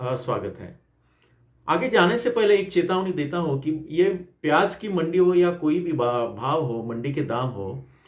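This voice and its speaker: A man with a non-native accent, his fairly high voice swinging very widely in pitch, in a room with audible echo. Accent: non-native Hindi. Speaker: agricultural journalist. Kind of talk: market report. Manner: halting, many fillers.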